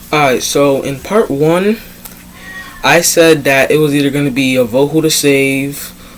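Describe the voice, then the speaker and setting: Noticeable background noise sits behind a man whose fairly high pitch shows ordinary variation. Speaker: fan commentary youtuber. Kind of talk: casual monologue. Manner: hesitant, many fillers.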